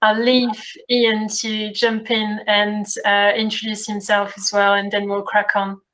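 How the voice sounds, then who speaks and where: A woman's fairly high, monotone, flat voice at a fairly slow pace. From France. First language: French. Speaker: community program coordinator. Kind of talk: workshop introduction. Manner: hesitant, many fillers.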